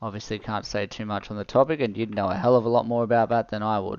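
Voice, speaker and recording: Speaking with an Australian accent, a man moves at a fairly quick pace. His tone is relaxed and his intonation fairly even. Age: 30s. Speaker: gaming streamer. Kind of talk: live gameplay stream chat. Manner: fast; casual, relaxed.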